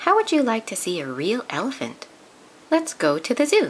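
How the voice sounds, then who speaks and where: A put-on character voice, female-sounding and fairly high in pitch, at a moderate pace. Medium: read story.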